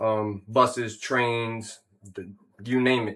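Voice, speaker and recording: A man with a medium pitch talks at a fairly slow pace in a flat, monotone delivery on a very clean recording with a silent background. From South Jersey and Philadelphia. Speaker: welder and fabrication business owner. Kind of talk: casual interview. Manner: casual, profane.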